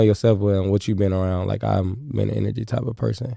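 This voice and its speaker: A man's fairly low-pitched voice with a dark, mellow tone. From Kansas City, Missouri. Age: 20s. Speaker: comedian. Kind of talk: casual chat.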